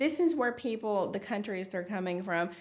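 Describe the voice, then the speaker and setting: A woman speaks with a Tennessee accent. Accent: Tennessee (Southern US). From Tennessee, USA. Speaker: designer. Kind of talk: interview answer.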